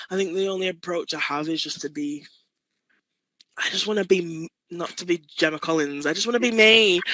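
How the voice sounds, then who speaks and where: A Manchester accent with long, frequent pauses and ordinary pitch variation. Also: woman, fairly low pitch for a woman, fairly quick pace. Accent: northern English (Manchester). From Manchester, northern England. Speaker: artist and poet. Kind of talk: interview. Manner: casual, with many fillers and repeats.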